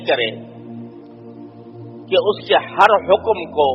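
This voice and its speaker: A man speaks with a high pitch. Music plays in the background. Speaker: Islamic scholar giving a sermon. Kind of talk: Islamic sermon (bayan) on brotherhood of Muslims.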